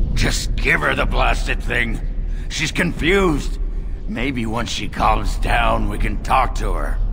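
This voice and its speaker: Through loud background noise, a man does a put-on character voice at a fairly slow pace. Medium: machinima. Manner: gruff.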